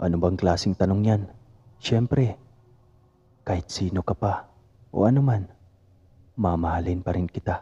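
A man speaks at a moderate pace in a very deep, low pitch with ordinary pitch variation and a dark, mellow tone that is somewhat breathy. He leaves long, frequent pauses, and the sound is dry and close with no echo. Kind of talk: ghost story telling.

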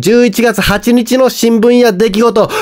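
Amid noticeable background noise, a man talks at an extremely high pitch. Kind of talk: casual news-recap talk to camera.

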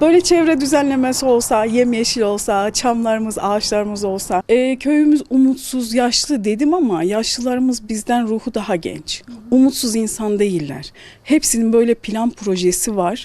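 The pace is moderate. There are hardly any pauses. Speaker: local resident. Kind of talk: street interview. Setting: outdoors.

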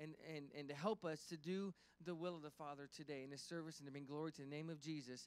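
The man's intonation is fairly even as he talks at a very fast pace. The sound is dry, with no echo. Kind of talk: sermon-style address and prayer. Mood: warm, encouraging, then prayerful. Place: church. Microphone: handheld.

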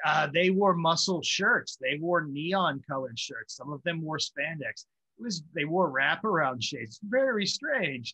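Over a quiet background, a man with an American accent and a high pitch speaks at a fairly slow pace in a bright, sharp tone, with lively intonation and hardly any pauses. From Pittsburgh area, Pennsylvania; Pennsylvania. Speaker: journalist and historian; journalist. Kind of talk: casual interview chat; interview answer. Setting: at home, evening. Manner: hesitant, many fillers. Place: home room. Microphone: webcam.

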